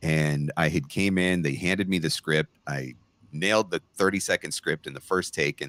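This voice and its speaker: A man with a very deep, low pitch and vocal fry speaks with ordinary pitch variation in a dry, close sound with no echo. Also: moderate pace. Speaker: voice actor, former radio broadcaster. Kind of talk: interview.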